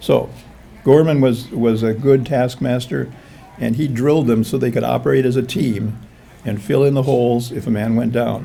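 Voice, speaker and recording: A man with an American accent, moderate pace and fairly even intonation, with audible room echo. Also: medium pitch for a man. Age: 70s. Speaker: author and Civil War historian. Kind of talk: history talk. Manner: halting.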